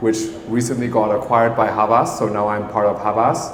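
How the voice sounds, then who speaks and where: With noticeable background noise and audible room echo, a man talks at a fairly quick pace in a medium pitch, his intonation monotone and flat. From Thailand. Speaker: marketing agency co-founder. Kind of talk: panel discussion.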